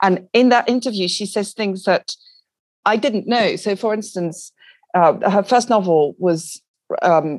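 A woman speaks at a fairly slow pace with ordinary pitch variation. The recording is very clean and dry, with a silent background and no echo. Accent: French. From France. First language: French. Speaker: literary agent. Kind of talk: interview.

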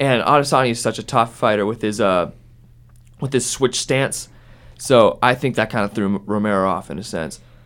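With an American accent, a plain, everyday voice moves at a fairly quick pace with ordinary pitch variation. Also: man, medium pitch for a man. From Ohio, US. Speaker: student radio podcast host. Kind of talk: casual sports discussion podcast.

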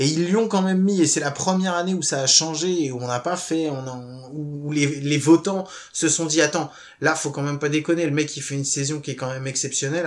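A plain, everyday voice speaks at a fairly quick pace. The pitch varies in an ordinary way. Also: man. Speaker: podcast host.

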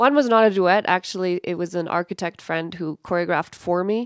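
In a very clean recording with a silent background and a dry, close sound with no echo, a woman with an American accent talks at a fairly quick pace and fairly low pitch in an unremarkable speaking voice. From Colorado, US. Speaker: performer and storyteller. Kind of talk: radio interview.

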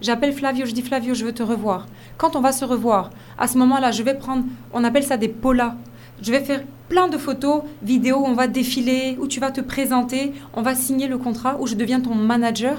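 Fairly quick pace, fairly even intonation and audible room echo. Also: woman, high pitch for a woman. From Côte d'Ivoire. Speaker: fashion model and agency founder. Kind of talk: radio interview.

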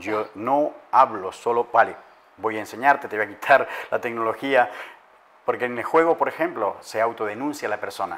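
At a moderate pace, a man with a plain, everyday voice talks at medium pitch with ordinary pitch variation. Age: 50s. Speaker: life coach and addiction specialist. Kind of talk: interview.

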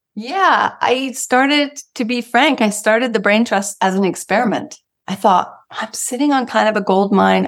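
Speaking at a fairly slow pace with hardly any pauses, a woman uses a fairly high pitch, ordinary pitch variation and vocal fry. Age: 40s. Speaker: transformation coach. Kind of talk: interview.

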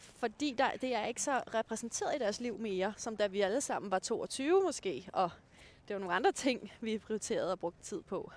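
A woman with an ordinary speaking voice talks at a moderate pace, her pitch fairly high and her intonation lively. The recording is very clean, with a silent background. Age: 30s. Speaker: dating blogger. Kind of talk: casual chat. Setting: outdoors on a walk.

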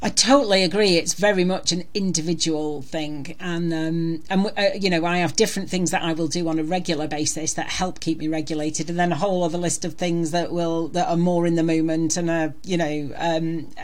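In an English accent, a woman speaks fairly quickly at a fairly low pitch, with fairly even intonation and hardly any pauses. Audible room echo and noticeable background noise surround her. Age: 50s. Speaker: former lawyer turned counsellor. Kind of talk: interview.

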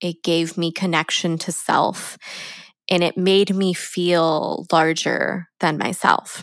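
In an American accent, a woman speaks at a very slow pace with a fairly low pitch and monotone, flat intonation, on a very clean recording with a silent background. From San Diego, California. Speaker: podcast host, former teacher turned education consultant. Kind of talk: personal storytelling monologue. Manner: laughs often while talking.

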